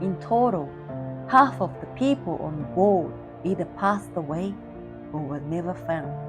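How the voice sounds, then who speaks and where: Over music in the background, a woman talks at a fairly slow pace with long, frequent pauses. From Vietnam. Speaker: public speaker. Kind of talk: competition speech.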